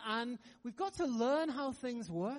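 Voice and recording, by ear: A man speaks at a fairly slow pace with an extremely high pitch and lively intonation.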